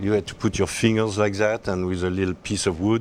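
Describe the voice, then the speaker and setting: A man with a French accent talks at a fairly quick pace. His pitch is fairly low and his intonation monotone and flat. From France, Alsace. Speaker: endurance horse rider. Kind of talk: interview. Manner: halting.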